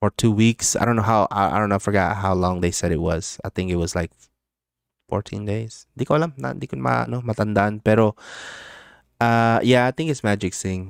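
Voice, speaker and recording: The voice carries an American accent with lively intonation. The sound is dry and close, with no echo. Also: man, fairly low pitch for a man, fairly quick pace, very clean recording, silent background. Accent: American English with Filipino background. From Philippines. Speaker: crypto livestreamer. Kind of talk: casual livestream chat. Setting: live stream. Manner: casual, filler-heavy.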